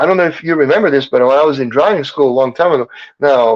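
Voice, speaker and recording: Very fast speech from a man, fairly high in pitch, with ordinary variation in tone. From Serbia. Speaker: chiropractor. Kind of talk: casual chat.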